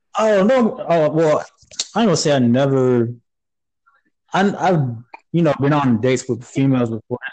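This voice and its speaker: With an American accent, the speaker uses lively intonation, very even loudness and a moderate pace broken by long, frequent pauses. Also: man, fairly high pitch for a man. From Florida, Panama City. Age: 20s. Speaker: military veteran. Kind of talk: casual chat.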